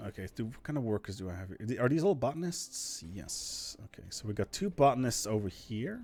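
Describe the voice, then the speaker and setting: Talking fairly quickly with hardly any pauses, a man with a non-native accent and medium pitch shows very wide pitch swings and big swings in loudness. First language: not English. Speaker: gaming video creator. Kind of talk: casual gameplay commentary. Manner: animated.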